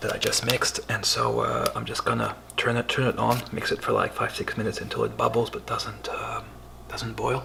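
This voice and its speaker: A man whispers at a fairly quick pace. Background noise is noticeable. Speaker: home cooking video host. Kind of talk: cooking tutorial. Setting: at home, bedroom then kitchen at night. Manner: whispering in the kitchen; casual, hesitant with fillers.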